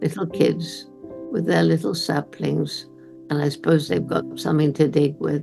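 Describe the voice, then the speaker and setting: A woman with a British accent speaks at a moderate pace over music in the background. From England. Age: 80s+. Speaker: primatologist, conservationist. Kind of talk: interview answer, storytelling.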